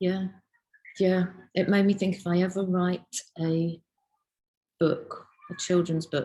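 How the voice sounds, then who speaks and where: At a very slow pace with long, frequent pauses, a woman speaks in a monotone, flat intonation, her tone dark and mellow and somewhat breathy. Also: medium pitch for a woman. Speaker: illustrator, lecturer and researcher. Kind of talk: interview answer. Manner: casual, chatty.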